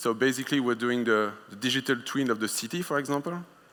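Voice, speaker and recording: Speaking in a French accent, a man uses a bright, sharp tone, a medium pitch, ordinary pitch variation and a moderate pace. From France. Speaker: conference speaker, wireless product manager. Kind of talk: conference talk. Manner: hesitant, many filler sounds.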